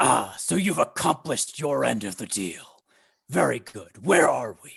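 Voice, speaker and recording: A man puts on a loud, raspy character voice at a medium pitch. He keeps a moderate pace. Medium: actual play. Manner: haughty, dismissive.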